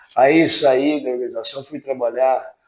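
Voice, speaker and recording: In an ordinary speaking voice, a man talks at medium pitch and a fairly slow pace. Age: 60s. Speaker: retiring utility company employee. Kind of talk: interview.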